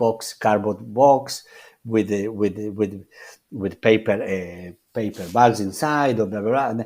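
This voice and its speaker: A man's fairly low voice in a Spanish accent, at a fairly slow pace with fairly even intonation, in a very clean recording with a silent background. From Argentina. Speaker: chef. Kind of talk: interview. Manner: halting, many repetitions and restarts.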